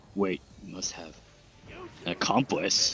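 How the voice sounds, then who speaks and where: A man puts on a character voice, very deep and low in pitch. It sounds raspy. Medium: game stream. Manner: hesitant, repetitive.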